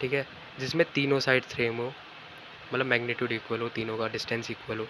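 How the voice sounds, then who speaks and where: His voice is pitched in the medium range and moves at a moderate speed. The man's delivery stays monotone and flat throughout. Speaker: online physics and maths teacher. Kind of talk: tutorial lecture. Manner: casual, repetitive fillers.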